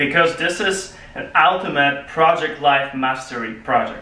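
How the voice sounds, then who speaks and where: A man with a Polish accent at a fairly high pitch and a moderate pace, fairly even in intonation, with audible room echo and noticeable background noise. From Poland. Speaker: public speaking club member. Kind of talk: prepared speech.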